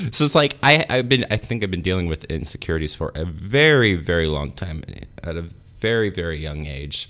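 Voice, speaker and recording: Very wide pitch swings, a fairly quick pace, and a bright, sharp tone. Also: man, very deep, low pitch for a man. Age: 30s. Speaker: vlogger. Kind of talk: personal video diary monologue. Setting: talking alone to a camera. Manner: halting.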